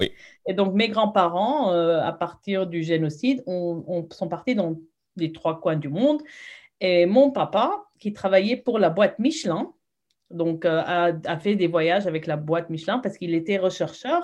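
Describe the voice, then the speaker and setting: In a normal speaking voice, a woman talks at a fairly slow pace with lively intonation and medium pitch. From moved around, Saudi Arabia and Lebanon; Armenian-French family. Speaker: teacher. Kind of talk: casual interview.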